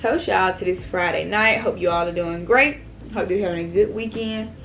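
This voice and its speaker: Against noticeable background noise, a woman speaks at a fairly quick pace in a medium pitch with ordinary pitch variation. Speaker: mukbang YouTuber. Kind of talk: casual chat while eating. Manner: loud.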